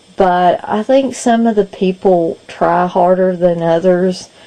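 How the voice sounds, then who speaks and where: A woman speaks in a Kentucky accent at a fairly low pitch. Noticeable background noise runs under her voice. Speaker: video blogger and podcast co-host. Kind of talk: casual vlog update.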